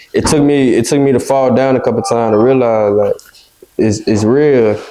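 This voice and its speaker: An unremarkable speaking voice from a man at a medium pitch and moderate pace, with fairly even intonation and very even loudness. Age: 20s. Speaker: football player. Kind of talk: interview answer.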